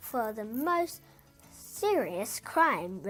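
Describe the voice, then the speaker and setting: Putting on a character voice, a woman speaks at a fairly high pitch with very wide pitch swings. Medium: read story. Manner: gloomy, solemn.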